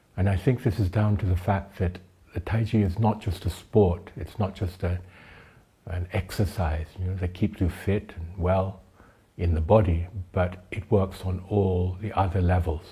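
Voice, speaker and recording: A somewhat breathy voice with a dark, mellow tone speaks at a moderate pace and fairly even intonation, on a very clean recording with a silent background. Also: man, very deep, low pitch for a man. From Thailand, educated in the UK. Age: 70s. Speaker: tai chi teacher. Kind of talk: talk to camera, then scripted explanation.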